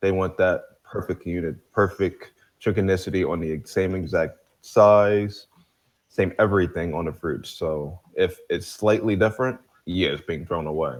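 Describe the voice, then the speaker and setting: With a New Jersey accent, a man talks at a moderate pace in a very deep, low voice, his pitch varying in an ordinary way. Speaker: live stream panelist. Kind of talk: casual chat; reading aloud.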